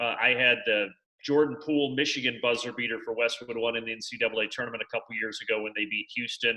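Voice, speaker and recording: A man with an American accent, very fast pace, bright, sharp tone and monotone, flat intonation. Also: medium pitch for a man. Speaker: sports play-by-play broadcaster. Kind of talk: interview answer.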